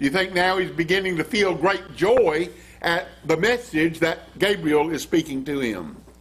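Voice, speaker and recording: This man has a high pitch. He talks at a fairly slow pace. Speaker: preacher. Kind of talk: sermon. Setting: church. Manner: formal; emphatic. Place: church.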